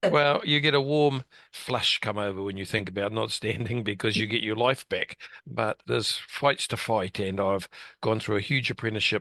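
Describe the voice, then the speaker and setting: A man with a New Zealand accent and a fairly low voice, a bright, sharp tone, ordinary pitch variation and a moderate pace, in a dry, close sound with no echo and a quiet background. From New Zealand, West Auckland. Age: 60s. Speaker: local politician. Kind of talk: interview. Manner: plain-spoken.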